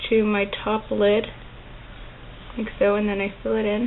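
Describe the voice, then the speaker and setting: Against noticeable background noise, a woman with a fairly high voice talks at a moderate pace in a monotone, flat way. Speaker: makeup tutorial creator. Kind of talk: makeup tutorial talk to camera. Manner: casual, chatty.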